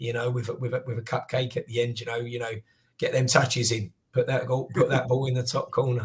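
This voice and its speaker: A man with a Cockney accent speaks at a fairly quick pace and medium pitch, somewhat breathy and monotone with flat intonation. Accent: Southeast Cockney. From South London, England. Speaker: card collector and youth football coach. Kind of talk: podcast interview.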